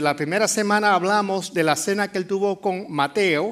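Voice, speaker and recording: At a fairly slow pace, a man talks with a Puerto Rican accent. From Puerto Rico. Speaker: pastor. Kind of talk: sermon. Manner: halting, with many fillers.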